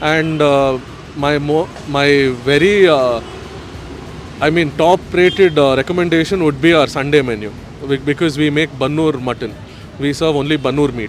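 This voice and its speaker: Long, frequent pauses at a moderate pace, with ordinary pitch variation, a dry sound with no echo and music in the background. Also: man. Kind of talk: interview answer. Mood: friendly, smiling. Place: street. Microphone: handheld.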